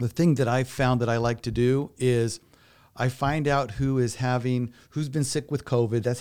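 At a moderate pace, a man speaks at a medium pitch in a dark, mellow tone, on a very clean recording with a silent background. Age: 50s. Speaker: elder law attorney. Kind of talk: interview.

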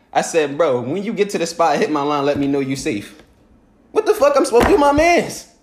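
A man's high voice with an American accent, fairly quick, with very wide pitch swings. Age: 20s. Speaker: podcast host. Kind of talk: casual chat.

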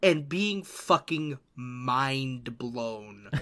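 A man with an American accent speaks in a bright, sharp tone on a very clean recording with a silent background. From New York. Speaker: podcast co-host and streamer. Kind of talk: casual chat.

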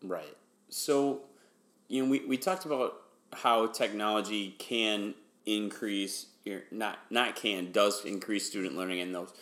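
This man has a normal speaking voice with an American accent and a fairly low pitch. He talks at a fairly slow pace with ordinary pitch variation. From Wisconsin. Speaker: podcast host, educator. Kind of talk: interview.

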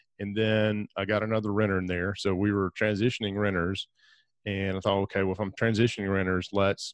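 Against a quiet background, a man with a very deep, low pitch talks at a very fast pace in a monotone, flat intonation. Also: dry, close sound with no echo. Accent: Alabama. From US South, northeast Alabama. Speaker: real estate investor and podcast host. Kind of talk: interview.

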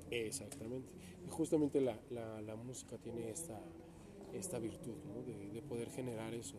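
A man of medium pitch speaks at a moderate pace with ordinary pitch variation. Audible room echo and noticeable background noise fill the recording. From Mexico, Toluca. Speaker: opera singer. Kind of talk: interview. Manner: laughs often.

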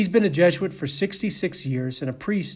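The recording is very clean, with a silent background. A man with a Boston accent speaks high-pitched at a moderate pace, with ordinary pitch variation. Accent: Boston American. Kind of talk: sermon.

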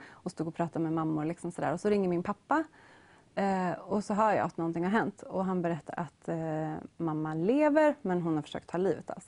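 Lively in intonation, a woman's fairly low, dark, mellow voice moves at a moderate pace. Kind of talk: interview chat.

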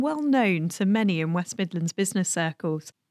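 A woman with a plain, everyday voice and lively intonation, at a moderate pace, recorded dry and close with no echo. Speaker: podcast host and chamber of commerce chief executive. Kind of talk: scripted narration and interview.

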